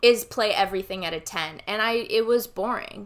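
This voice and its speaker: This woman has a normal speaking voice, fairly high in pitch. She speaks at a moderate pace on a very clean recording with a silent background. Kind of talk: casual chat.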